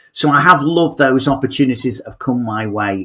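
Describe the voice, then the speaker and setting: This man speaks with an English accent and ordinary pitch variation. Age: 60s. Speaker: motivational speaker. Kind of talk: podcast interview. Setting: podcast.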